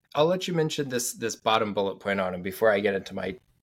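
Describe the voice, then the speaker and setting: Speaking at a fairly quick pace with an American accent, a man with an unremarkable speaking voice and ordinary pitch variation is heard on a very clean recording with a silent background. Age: 30s. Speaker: sports podcast host. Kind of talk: casual chat. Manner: fast.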